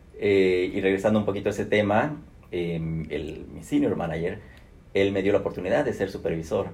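A man's fairly low, somewhat breathy voice with a Mexican accent and audible room echo. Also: ordinary pitch variation, moderate pace. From Mexico (Guadalajara). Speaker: human resources executive. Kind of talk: interview.

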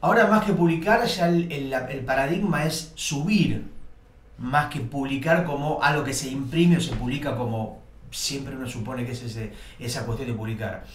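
Lively intonation from a man with a fairly high pitch, plus audible room echo. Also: moderate pace. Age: 40s. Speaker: cartoonist. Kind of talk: casual chat.

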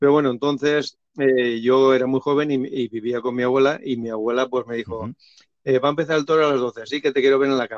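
The sound is dry and close, with no echo. The voice moves at a very fast pace with fairly even intonation. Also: man, medium pitch for a man. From Valencia region, Spain. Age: 50s. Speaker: bullfighting YouTuber. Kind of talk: interview. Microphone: poor audio, host's voice overlapping.

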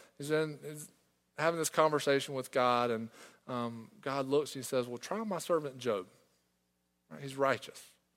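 A man's fairly high voice moves fairly quickly, varying in pitch in an ordinary way. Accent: Southern US. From small-town South Carolina. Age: 20s. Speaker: pastor. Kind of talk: sermon.

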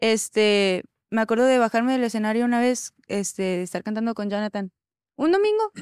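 A woman with an unremarkable speaking voice, fairly high in pitch and fairly even in intonation, talks at a fairly quick pace in a dry, close sound with no echo on a very clean recording with a silent background. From Mexico City. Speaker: worship singer. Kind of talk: casual chat.

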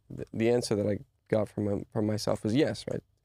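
A man's fairly low, dark, mellow voice at a very fast pace, with fairly even intonation and a dry, close sound with no echo. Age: 30s. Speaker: podcast host. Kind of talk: casual chat. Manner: halting.

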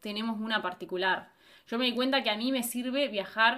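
A woman's fairly high voice, bright and sharp in tone, with ordinary pitch variation. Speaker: podcast co-host. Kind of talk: casual chat.

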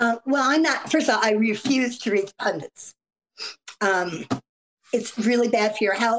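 Here a woman talks at a fairly high pitch with ordinary pitch variation and very even loudness. Her pace is moderate, with long, frequent pauses. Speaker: political analyst. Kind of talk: casual interview conversation. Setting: video call.

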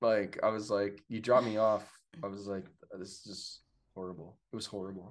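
A man with an American accent and a plain, everyday voice, fairly low in pitch, at a fairly quick pace with big swings in loudness. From Pittsburgh, western Pennsylvania. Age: 30s. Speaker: fire system inspector and esports event worker. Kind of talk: casual chat. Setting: video call from his apartment.

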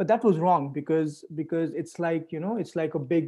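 Speaking with an Indian accent, a man with a high pitch uses a dark, mellow tone, fairly even intonation and a moderate pace. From India, Delhi. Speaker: clean energy entrepreneur. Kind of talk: interview.

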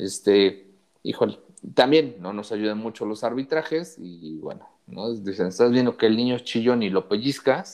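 A man with a Mexican accent speaks at a moderate pace and medium pitch. His intonation is lively, and his loudness swings widely. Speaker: podcast co-host. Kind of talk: casual chat.

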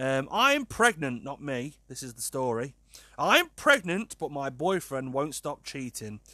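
This man has a British accent and a bright, sharp tone, fairly high in pitch, with lively intonation and big swings in loudness. He talks at a fairly slow pace in a very clean recording with a silent background. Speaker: podcast host. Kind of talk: casual solo podcast monologue.

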